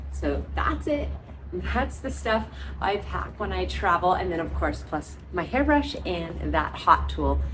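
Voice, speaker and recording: Music plays in the background as a soft-spoken woman talks at a fairly slow pace, with audible room echo. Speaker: beauty vlogger. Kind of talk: vlog voice-over.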